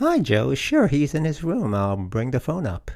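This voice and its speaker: A put-on character voice from a man, medium in pitch with very wide pitch swings. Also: moderate pace. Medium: read story. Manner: chipper.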